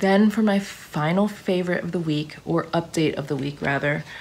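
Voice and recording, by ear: Faint background noise sits behind a woman speaking at a moderate pace. Her pitch is fairly low and her tone slightly mellow. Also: ordinary pitch variation.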